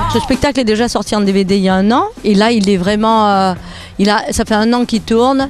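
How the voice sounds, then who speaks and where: Her delivery is fairly quick, and she has a Nice accent and fairly even intonation. This woman's loudness stays very even over noticeable background noise. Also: fairly high pitch for a woman. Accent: southern French, Nice. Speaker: comedian. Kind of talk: interview answer.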